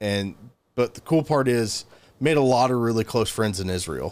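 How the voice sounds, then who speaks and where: A man's fairly low voice with a Southern US accent, on a very clean recording with a silent background. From US South (Georgia). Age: 30s. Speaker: gun store worker, former English teacher in China. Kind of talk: casual interview. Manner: halting, many fillers.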